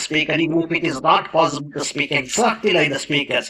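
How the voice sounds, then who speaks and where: A man speaks with an Indian accent at a high pitch. Noticeable background noise runs underneath. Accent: non-native Indian English. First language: Indian language. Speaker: English teacher. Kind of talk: motivational talk. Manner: earnest, with fillers and self-corrections.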